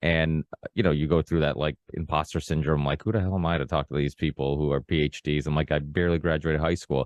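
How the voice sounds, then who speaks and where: A man's very deep, low voice with vocal fry, very fast with hardly any pauses, very even in loudness and fairly even in intonation. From Portugal, raised in the US. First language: Portuguese. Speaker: podcast host. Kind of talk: casual conversation. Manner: hesitant, many fillers and restarts.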